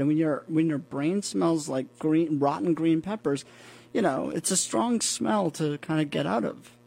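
A man with an American accent, an unremarkable speaking voice, a fairly high pitch and lively intonation. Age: 40s. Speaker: custom suit maker. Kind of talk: casual interview. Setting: studio.

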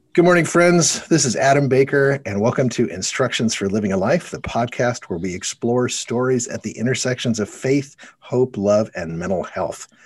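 A man speaks at a moderate pace in an ordinary speaking voice, medium in pitch, with lively intonation. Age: 40s. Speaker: podcast host. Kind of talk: casual interview.

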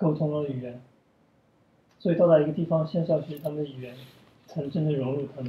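A man's fairly high voice at a very fast pace, with long, frequent pauses, big swings in loudness and fairly even intonation. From China. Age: 30s. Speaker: ballet dancer. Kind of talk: casual chat. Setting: at home.

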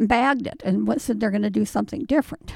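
This woman's voice has vocal fry and ordinary pitch variation. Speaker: retired woman at advice booth. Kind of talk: casual interview chat.

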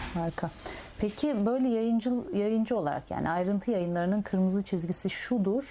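Noticeable background noise sits behind a woman at medium pitch who speaks at a moderate pace and very even loudness. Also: ordinary pitch variation. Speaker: interviewer. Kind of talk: oral history interview.

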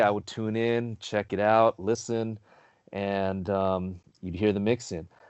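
A man talks at a fairly slow pace with a Southern Californian accent. His pitch is fairly low and his intonation fairly even. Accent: Southern California American. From Carson, Los Angeles area, California. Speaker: DJ and former radio DJ. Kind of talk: casual interview chat.

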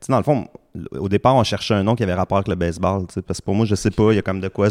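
In a dry, close recording with no echo, a man with a Quebec accent speaks at a fairly low pitch with fairly even intonation. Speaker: musician, guitarist. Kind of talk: casual interview chat.

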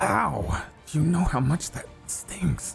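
A put-on character voice at low-to-middle pitch proceeds at a fairly slow pace. Clear music plays in the background, along with hissing.

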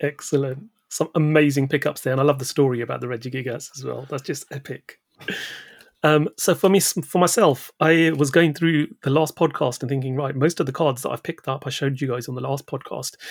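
In a normal speaking voice, a man talks fairly quickly at a fairly high pitch. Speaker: podcast host. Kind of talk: casual chat.

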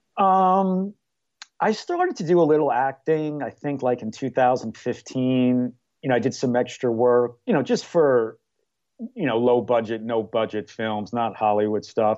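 A normal speaking voice from a man, medium in pitch, with lively intonation at a moderate pace. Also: quiet background. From New York. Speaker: amateur screenwriter and actor. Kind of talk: casual interview.

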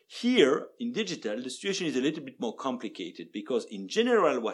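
A man's pitch swings very widely, with vocal fry. He talks at a fairly quick pace. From Belgium. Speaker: law professor. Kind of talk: expert interview.

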